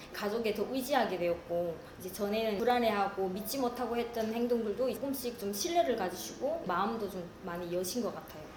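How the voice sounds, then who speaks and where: A woman talks at a fairly quick pace with hardly any pauses, noticeable background noise behind her. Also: fairly high pitch for a woman, ordinary pitch variation. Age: 40s. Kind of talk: interview answer.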